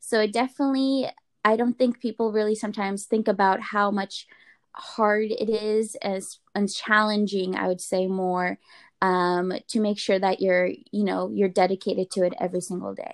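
A woman with an unremarkable speaking voice talks at a medium pitch and moderate pace with fairly even intonation, the sound dry and close with no echo and the background quiet. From Russian immigrant family, raised in US Pacific Northwest. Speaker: medical student. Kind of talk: casual interview chat.

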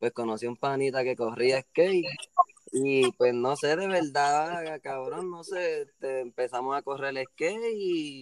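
Here is a man with a normal speaking voice, pitched fairly high and talking at a fairly slow pace. The sound is dry and close, with no echo. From Puerto Rico, Cayey area. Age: 20s. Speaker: skateboarder and small dessert business owner. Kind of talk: casual chat.

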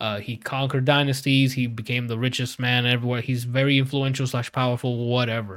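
Against a silent background in a very clean recording, a man with an unremarkable speaking voice talks at medium pitch and a fairly quick pace with hardly any pauses. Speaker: podcast host. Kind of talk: casual banter among gamer friends. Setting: live video recording stream. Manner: casual, profane, upbeat.

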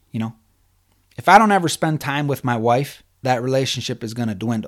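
Over a silent background in a very clean recording, a man with a normal speaking voice talks at medium pitch and a fairly quick pace, his intonation lively. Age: 30s. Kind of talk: devotional teaching.

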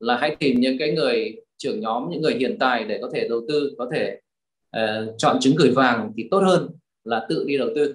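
Very wide pitch swings in a fairly high male voice. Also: moderate pace. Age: 50s. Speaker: real estate investor and trainer. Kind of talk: interview.

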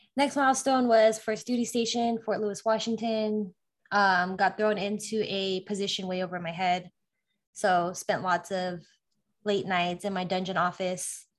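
Using a plain, everyday voice, a woman with an American accent speaks at a moderate pace in a medium pitch with fairly even intonation. The recording is very clean, with a silent background. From California. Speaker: army officer and tech project manager. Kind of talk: interview.

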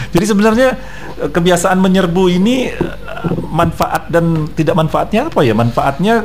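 The intonation is lively. There is noticeable background noise. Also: man. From North Sumatra (Batak). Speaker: radio co-host. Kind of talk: casual morning radio chat. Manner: loud.

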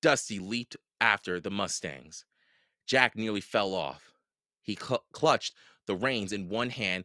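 The speaker uses a natural reading voice. The background is quiet.

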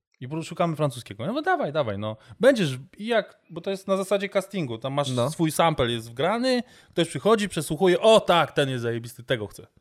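In a very clean recording with a silent background, a man with a fairly high pitch talks at a very fast pace, animated, his pitch swinging very widely. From Warsaw, Poland. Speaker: amateur basketball player and voice-over artist. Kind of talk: casual chat.

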